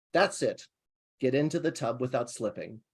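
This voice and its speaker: A man with an unremarkable speaking voice at a fairly high pitch, lively intonation and a moderate pace, in a very clean recording with a silent background. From Ohio. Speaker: poet. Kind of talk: poetry reading; casual chat.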